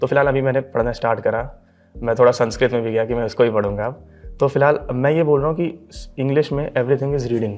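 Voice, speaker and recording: Music plays in the background. A man speaks at a medium pitch with fairly even intonation. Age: 20s. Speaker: bank exam topper. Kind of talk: interview.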